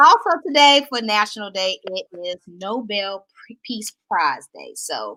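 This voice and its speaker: Her bright, sharp voice is fairly high, with lively intonation and big swings in loudness, as the woman speaks in a Southern US accent. She goes at a fairly slow pace with hardly any pauses, and the sound is dry and close with no echo. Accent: Southern twang. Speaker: talk show host. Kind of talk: casual chat.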